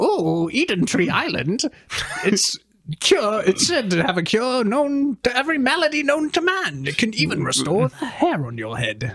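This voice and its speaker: At a moderate pace, the put-on character voice leaps through very wide swings in pitch. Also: man, extremely high pitch for a man. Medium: read story. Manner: mocking, smug.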